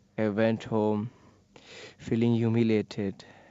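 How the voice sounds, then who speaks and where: A man speaks at medium pitch in a monotone, flat delivery. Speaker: person who stammers. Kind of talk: testimony.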